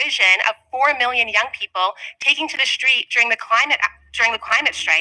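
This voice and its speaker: This woman talks at a fairly quick pace in a high pitch. The sound is dry and close, with no echo. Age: young. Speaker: youth keynote speaker. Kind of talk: speech. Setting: stage with audience.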